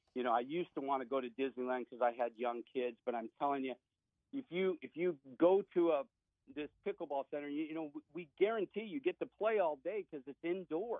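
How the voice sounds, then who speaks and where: Lively intonation marks this man's normal speaking voice, pitched fairly high and delivered at a fairly quick pace. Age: 60s. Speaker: business owner. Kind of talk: radio interview.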